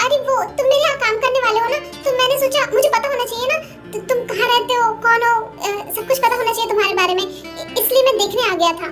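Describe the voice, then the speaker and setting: A woman's cartoonish character voice at a very fast pace, with clear music in the background. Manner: commanding, curt.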